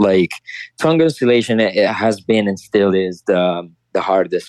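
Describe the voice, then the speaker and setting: A man's fairly low voice with an Italian accent and ordinary pitch variation. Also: dry, close sound with no echo. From Italy. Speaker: champion beatboxer. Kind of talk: interview. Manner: halting.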